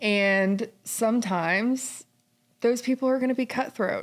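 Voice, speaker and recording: A woman with a plain, everyday voice speaks at a fairly slow pace with ordinary pitch variation on a very clean recording with a silent background. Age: 20s. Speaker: podcast host. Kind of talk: interview conversation.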